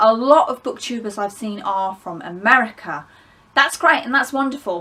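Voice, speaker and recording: A woman's fairly high, bright, sharp voice with an English accent, lively intonation, big swings in loudness and a moderate pace. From England. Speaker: book vlogger. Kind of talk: casual vlog monologue. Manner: conversational, with fillers.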